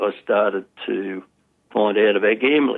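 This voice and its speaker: This man has a fairly low pitch and an Australian accent. He speaks at a moderate pace. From Australia, Sydney. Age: 80s+. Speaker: former problem gambler, community educator. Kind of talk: interview testimony. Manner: halting.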